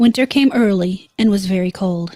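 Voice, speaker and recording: At a moderate pace, a woman with a dark, mellow tone sounds somewhat breathy, with ordinary pitch variation, on a very clean recording with a silent background. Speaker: live streamer. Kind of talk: horror story reading.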